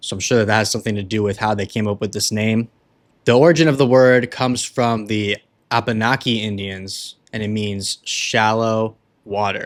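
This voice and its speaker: An ordinary speaking voice at a moderate pace with fairly even intonation, on a very clean recording with a silent background. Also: man, fairly low pitch for a man. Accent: American. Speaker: cigar reviewer, podcast host. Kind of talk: product review monologue. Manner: casual, conversational.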